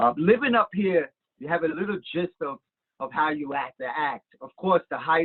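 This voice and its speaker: Speaking at a moderate pace, a man uses a fairly high pitch, lively intonation and big swings in loudness. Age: 60s. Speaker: council appointment candidate. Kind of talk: interview. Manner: halting, frequent repetitions.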